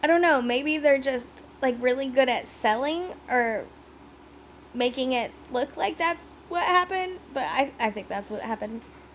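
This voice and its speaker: With an animated tone and lively intonation, a woman speaks at a high pitch and moderate pace over noticeable background noise. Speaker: wrestling recap YouTuber. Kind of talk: casual recap vlog. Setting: home video recording.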